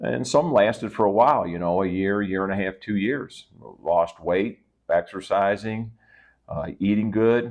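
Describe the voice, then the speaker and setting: Here a man with a fairly low pitch speaks at a fairly slow pace, with ordinary pitch variation. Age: 60s. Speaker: fitness vlogger. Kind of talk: personal vlog monologue. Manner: casual, hesitant with fillers.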